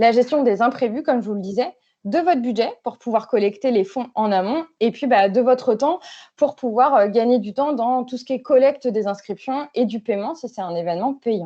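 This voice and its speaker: A woman's high-pitched voice with a dark, mellow tone and ordinary pitch variation, against a quiet background. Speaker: speaker at an online workshop on digital tools for associations. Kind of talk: online workshop presentation. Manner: fast; hesitant, many fillers.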